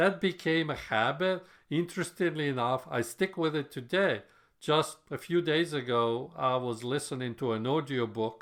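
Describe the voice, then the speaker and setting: Fairly high male pitch with ordinary pitch variation, a moderate pace and a non-native accent. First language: not English. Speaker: software developer podcaster. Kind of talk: solo podcast monologue.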